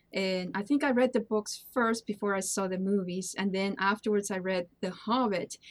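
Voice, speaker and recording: In a non-native accent, a woman speaks at a moderate pace with a medium pitch, fairly even intonation and hardly any pauses. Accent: foreign. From Peru. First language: Spanish. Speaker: charity streamer. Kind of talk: casual interview. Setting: online call.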